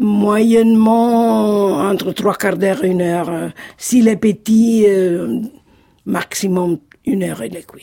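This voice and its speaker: A woman's very slow speech in an Italian accent, medium pitch, dark, mellow tone and ordinary pitch variation. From Italy, Marche (Sassoferrato). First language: Italian (speaking French). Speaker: Italian cooking enthusiast. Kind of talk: casual interview.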